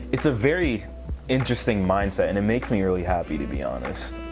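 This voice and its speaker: A man with a fairly low pitch talks while music plays behind him. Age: 20s. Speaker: vlogger. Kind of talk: casual vlog monologue.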